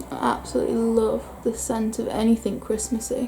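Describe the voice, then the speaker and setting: A woman speaks with a northern English accent. Music can be heard in the background. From northern England. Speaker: beauty vlogger. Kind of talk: casual chat. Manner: chatty.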